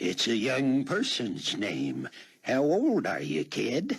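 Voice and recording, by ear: Putting on a character voice, a man draws his words out at a very slow pace.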